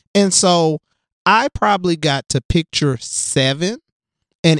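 A man speaks in an American accent with a high pitch at a very slow pace. The sound is dry and close, with no echo. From US South, West Tennessee (Jackson). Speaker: diversity consultant for schools, former teacher. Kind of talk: casual interview conversation.

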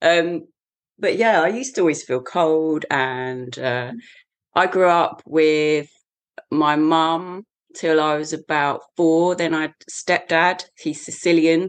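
Someone with an English accent speaks at a very slow pace with ordinary pitch variation. The background is quiet. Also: woman, fairly low pitch for a woman. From England, the shires. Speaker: Tai Chi teacher and mental health support worker. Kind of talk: casual interview.

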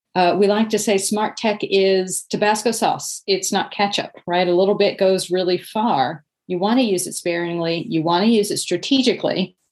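In a normal speaking voice, this speaker keeps a moderate pace, fairly even intonation and very even loudness, with hardly any pauses. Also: woman, medium pitch for a woman. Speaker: author and nonprofit expert. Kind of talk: interview.

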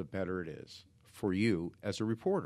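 The man's pitch sits fairly low and his pace is fairly slow. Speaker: crisis communications consultant, former reporter. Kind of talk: interview. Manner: animated, talks with hands.

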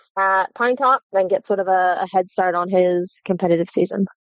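A woman speaks with an American accent, at a medium pitch. It is a plain, everyday voice. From Maryland. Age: 20s. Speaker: horse trainer. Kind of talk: interview. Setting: phone call.

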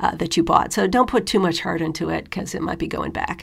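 A woman talks in an American accent with vocal fry. Her pitch varies in an ordinary way. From US. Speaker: podcast host. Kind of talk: talk on living abroad.

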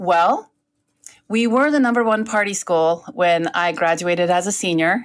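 In a very clean recording with a silent background, a woman with an American accent speaks in a normal speaking voice at a moderate pace, a medium pitch, ordinary pitch variation and very even loudness. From Northern California. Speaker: lawyer. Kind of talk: casual chat.

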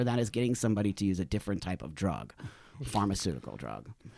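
A man with vocal fry speaks at a very fast pace. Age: 50s. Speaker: activist and cannabis entrepreneur. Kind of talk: interview.

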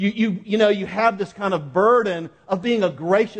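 Intonation stays fairly even. This is an unforced reading voice.

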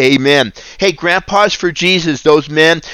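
Captured in a very clean recording with a silent background, a man has an unremarkable speaking voice at a fairly high pitch with ordinary pitch variation. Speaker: ministry founder and preacher. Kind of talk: devotional Bible reading and prayer. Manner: earnest, fervent, preaching.

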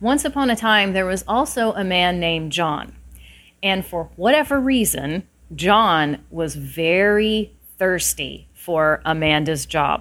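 At a very slow pace, a woman speaks at a fairly low pitch. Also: lively intonation, very clean recording, silent background. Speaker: podcast host, career consultant. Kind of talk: bedtime-style storytelling, 'once upon a time' fairy-tale narration. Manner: conversational and opinionated when not telling the story.

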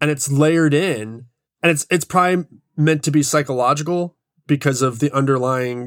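A man speaks in an ordinary speaking voice with a fairly high pitch. He keeps a moderate pace and ordinary pitch variation. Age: 40s. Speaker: independent filmmaker. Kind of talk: casual chat.

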